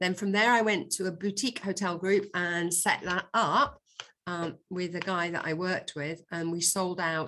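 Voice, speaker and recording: In a Yorkshire accent, a woman with a fairly low pitch speaks at a fairly slow pace against a quiet background. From Yorkshire, northern England. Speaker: hotel executive. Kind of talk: webinar presentation.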